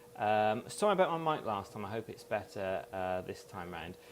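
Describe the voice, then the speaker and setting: A man with a British accent speaks at a moderate pace and a medium pitch. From UK. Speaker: hypnotherapist. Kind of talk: interview.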